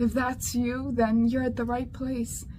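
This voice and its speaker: A woman speaks with a Slavic accent. Her pitch is high. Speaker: women's ministry leader. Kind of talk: inspirational talk. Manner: earnest, with some repetitions and false starts.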